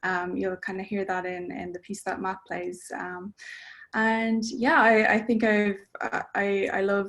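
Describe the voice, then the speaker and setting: The speaker has an Irish accent and a fairly slow pace. The intonation stays fairly even. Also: woman. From Ireland. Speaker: composer. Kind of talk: interview. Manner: hesitant, many fillers.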